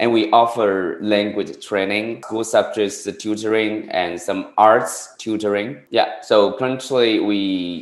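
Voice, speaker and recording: Very slowly and with fairly even intonation, a man talks in a Chinese accent. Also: fairly low pitch for a man, hardly any pauses. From rural China. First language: Mandarin Chinese. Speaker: tutoring business owner, former teacher. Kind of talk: interview. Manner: halting, many fillers.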